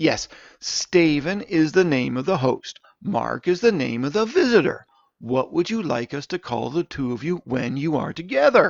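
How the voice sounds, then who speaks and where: Putting on a character voice, a man speaks at a fairly high pitch with a rumbling quality. His pace is moderate, and the background is quiet. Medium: read story. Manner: grumbling, condescending.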